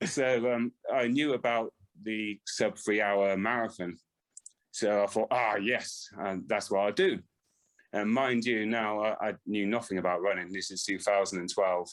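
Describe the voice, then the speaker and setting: Speaking in a West Country accent, a man keeps a fairly slow pace, a fairly low pitch and fairly even intonation. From West Country, England (Swindon). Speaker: ultra runner. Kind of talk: podcast interview. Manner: hesitant, many fillers.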